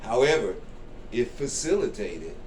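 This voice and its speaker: A man's lively intonation, with audible room echo and noticeable background noise. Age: 60s. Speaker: comedian. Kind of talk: interview.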